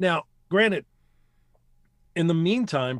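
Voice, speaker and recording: With an American accent and lively intonation, a man speaks at a moderate pace in a very clean recording, silent in the background, with a dry, close sound and no echo. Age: 40s. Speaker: voice actor. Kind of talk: casual chat.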